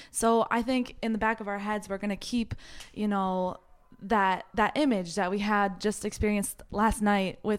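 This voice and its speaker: A woman with an unremarkable speaking voice, fairly even intonation and a moderate pace. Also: very clean recording, silent background. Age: 20s. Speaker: a cappella group member. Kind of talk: casual interview chat.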